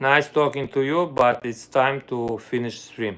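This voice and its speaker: Speaking at a fairly slow pace, a man with an Armenian accent has a fairly high pitch and fairly even intonation. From Armenia (Soviet Union). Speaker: violinist and music teacher. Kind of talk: casual livestream chat. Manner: halting, non-native phrasing.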